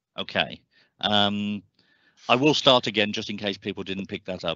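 The man speaks in an ordinary speaking voice at a fairly low pitch and a moderate pace. The sound is dry with no echo, and the background is quiet. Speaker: local councillor. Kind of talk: formal meeting. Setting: video call. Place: home room. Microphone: headset.

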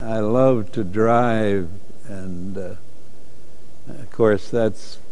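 A man's fairly low voice at a very slow pace. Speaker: car enthusiast interviewee. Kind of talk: interview answer. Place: hall. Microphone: lapel.

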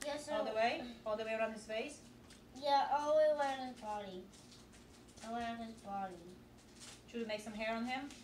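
The speech moves at a moderate pace with long, frequent pauses and big swings in loudness, with audible room echo and light background noise. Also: woman. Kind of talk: casual instruction to children. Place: home room. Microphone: camera far.

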